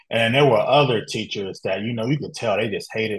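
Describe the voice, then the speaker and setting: A man's somewhat breathy, medium-pitched voice with ordinary pitch variation. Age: 30s. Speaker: podcast host. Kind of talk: interview.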